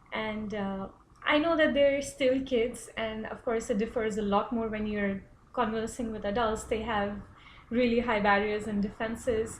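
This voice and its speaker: A woman with an Indian accent speaks at a moderate pace in a fairly high voice, her intonation fairly even, with audible room echo. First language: Hindi. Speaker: international student. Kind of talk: personal reflection presentation. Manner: hesitant, many fillers.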